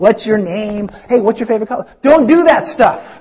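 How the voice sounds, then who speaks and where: Animated in tone, a man speaks at a high pitch with ordinary pitch variation. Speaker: pastor. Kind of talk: sermon. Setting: church. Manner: animated, conversational preacher.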